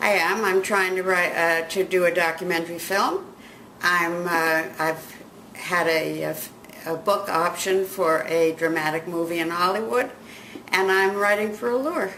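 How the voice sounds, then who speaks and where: Noticeable background noise and audible room echo surround a woman speaking at a fairly slow pace. Her pitch is fairly low, with ordinary variation. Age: 80s+. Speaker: magazine editor and writer. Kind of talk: interview.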